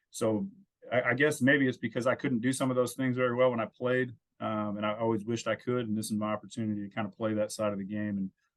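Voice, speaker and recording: A man's medium-pitched voice carries an American accent. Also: fairly even intonation. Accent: slight country drawl. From California, Santa Cruz area. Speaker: former pro baseball player, college coach. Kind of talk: podcast interview. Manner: frequent fillers and repetitions.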